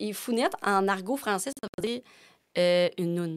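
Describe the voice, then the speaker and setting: A woman speaks at a moderate pace in a medium pitch with a Quebec accent. Her pitch varies in an ordinary way, and the recording is very clean with a silent background. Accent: Québécois French. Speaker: podcast guest. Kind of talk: casual chat. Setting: studio. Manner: animated.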